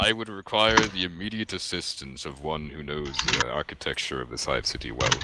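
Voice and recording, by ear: Over loud background noise, a man in a booming, put-on character voice speaks at a fairly quick pace with a very deep, low pitch, lively intonation, big swings in loudness and hardly any pauses.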